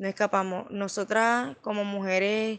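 Woman at a fairly slow pace with monotone, flat intonation. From Venezuela. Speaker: refugee, former lawyer. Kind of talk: testimony.

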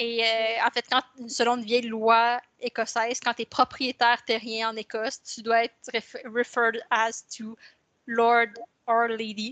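A woman speaks in a monotone with flat intonation, her pitch fairly high and her tone bright and sharp. The pace is fairly slow, and the sound is dry and close with no echo. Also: big swings in loudness. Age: young. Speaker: fantasy novelist. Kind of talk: casual interview chat. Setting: home office, remote call.

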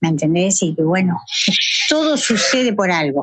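Over a dry, close sound with no echo, a woman speaks at a very slow pace and medium pitch with lively intonation. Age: 50s. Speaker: amateur marathon runner searching for her son. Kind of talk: interview testimony.

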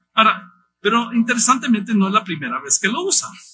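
A man raises and projects his voice, high-pitched for a man, with a bright, sharp tone. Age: 50s. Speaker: missionary pastor. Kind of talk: sermon.

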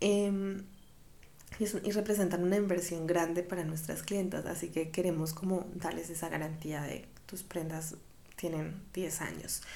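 A woman speaks fairly slowly in a fairly low, flat, monotone voice. Room echo can be heard around her. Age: 20s. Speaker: podcast host, fashion creative director. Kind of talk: casual monologue.

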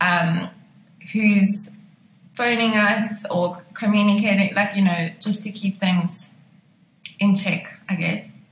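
A woman speaks at a very slow pace with long, frequent pauses. Her voice is somewhat breathy and her intonation flat and monotone. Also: medium pitch for a woman. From South Africa, Pretoria. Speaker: wedding photographer. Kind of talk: interview chat.

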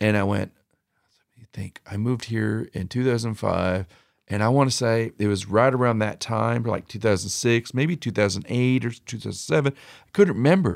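Very clean recording, silent background. A man with an ordinary speaking voice talks at medium pitch and a fairly quick pace. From San Jose, California. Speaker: reseller. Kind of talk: casual chat. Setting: music studio.

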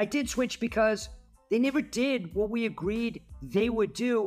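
Music plays in the background as a man speaks with an American accent. His pitch is high, with ordinary variation. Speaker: podcast host, company CEO. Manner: conversational monologue, rhetorical questions.

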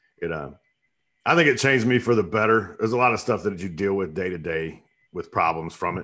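A man with a Southern US accent and a bright, sharp tone talks at a very fast pace and a fairly low pitch. His intonation is lively, and the background is quiet. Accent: Southern American. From US South, upstate South Carolina. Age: 40s. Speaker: soap business owner, Marine veteran. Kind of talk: casual interview chat.

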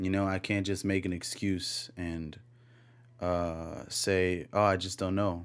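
Mumbling at a very slow pace, a man speaks with a very deep, low pitch and monotone, flat intonation. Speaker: podcast host. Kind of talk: solo monologue. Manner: mumbly; laid back.

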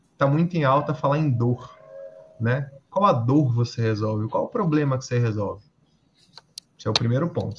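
Somewhat breathy, the man's voice moves along at a moderate speed. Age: 30s. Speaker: entrepreneur and electrical engineer. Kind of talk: casual interview.

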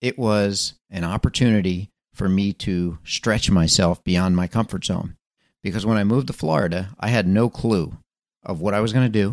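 A man with an American accent and a normal speaking voice talks at a moderate pace, fairly low in pitch with ordinary pitch variation, the sound dry and close with no echo against a quiet background. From Philadelphia area, Pennsylvania. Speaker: podcast host. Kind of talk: motivational monologue. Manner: casual with frequent fillers.

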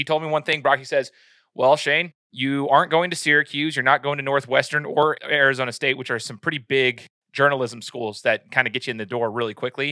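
A man speaks at a fairly quick clip in a normal speaking voice, pitched fairly high for a man with fairly even intonation. The recording is very clean with a silent background and a dry, close sound with no echo. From Idaho, US. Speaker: sports podcast host. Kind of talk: personal testimony in casual interview.

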